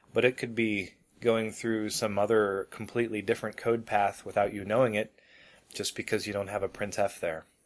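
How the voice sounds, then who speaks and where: In monotone, flat intonation, a man with a fairly low pitch speaks at a moderate pace. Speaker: podcast co-host. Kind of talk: casual tech chat. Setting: remote call, recorded locally.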